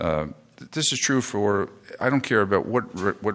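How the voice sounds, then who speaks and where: A man with an American accent and a bright, sharp tone, on a very clean recording with a silent background. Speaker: conference speaker. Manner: frequent "uh" filler pauses.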